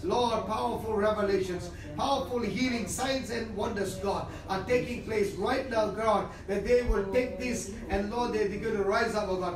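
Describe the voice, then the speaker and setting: Monotone and flat, a high-pitched man speaks at a moderate pace amid audible room echo and noticeable background noise. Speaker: preacher giving prophecy. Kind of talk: fervent prophetic prayer, declaring and praying aloud. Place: home room.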